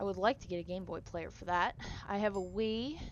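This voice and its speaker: Pitched at a medium level, a woman's voice varies in pitch in an ordinary way. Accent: northern US. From northern US. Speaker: gaming streamer. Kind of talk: casual chat. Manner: rambling, casual.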